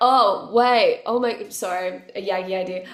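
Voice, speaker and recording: Amid audible room echo, a woman with an Australian accent speaks at a fairly slow pace, with a fairly high pitch and an animated tone. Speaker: musician. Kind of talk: casual interview chat.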